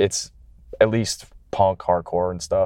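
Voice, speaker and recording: The background stays quiet as a man talks, his pitch varying in an ordinary way. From greater Detroit area. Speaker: hardcore band musician. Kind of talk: casual interview chat. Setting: in a car. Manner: mild-mannered.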